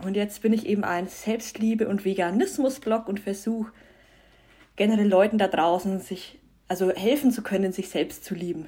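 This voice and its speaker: A woman speaks at a moderate pace in a dark, mellow tone that is somewhat breathy. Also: medium pitch for a woman, ordinary pitch variation. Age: 20s. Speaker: self-love and vegan influencer. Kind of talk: casual interview.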